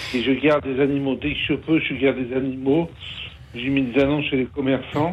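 Noticeable background noise sits behind a man with a fairly high pitch. He talks at a moderate pace with monotone, flat intonation. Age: 50s. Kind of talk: testimony. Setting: phone call. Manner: halting, hesitant.

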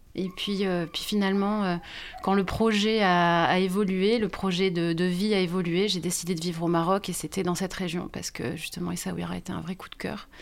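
A woman speaks at a moderate pace with a medium pitch and a monotone, flat intonation. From France, Bordeaux. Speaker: photo book author. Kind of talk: podcast interview. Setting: recorded on location. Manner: hesitant.

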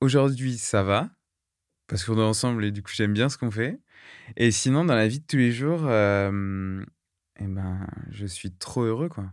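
A man speaks at a medium pitch with ordinary pitch variation and long, frequent pauses. The recording is very clean, with a silent background. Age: 20s. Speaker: nursing student and leukemia survivor. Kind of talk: testimony. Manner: halting, with many hesitations.

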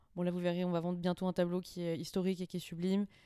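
On a very clean recording with a silent background and a dry, close sound with no echo, a woman speaks with a fairly low pitch and a dark, mellow tone. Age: 20s. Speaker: auction house cataloguer. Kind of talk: casual interview.

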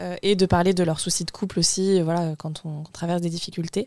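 Her voice fairly low and her intonation flat and monotone, a woman speaks at a moderate pace. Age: 20s. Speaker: mother, guest. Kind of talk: casual chat.

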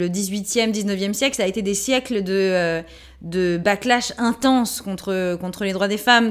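A woman at medium pitch with an animated tone and ordinary pitch variation. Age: 30s. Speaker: actress, playwright and feminist author. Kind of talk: interview.

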